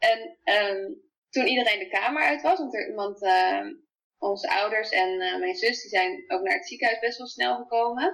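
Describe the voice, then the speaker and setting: A woman at a fairly slow pace, with big swings in loudness and very wide pitch swings. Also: fairly high pitch for a woman. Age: 20s. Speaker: new mother sharing birth story. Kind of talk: personal testimony interview. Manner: hesitant, many fillers.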